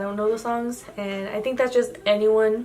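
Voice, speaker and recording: A woman with a Spanish accent speaks at a fairly high pitch with fairly even intonation. There is noticeable background noise. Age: 18. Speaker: YouTuber. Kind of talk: casual chat. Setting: home, night, yellow lamp. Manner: hesitant, filler-heavy.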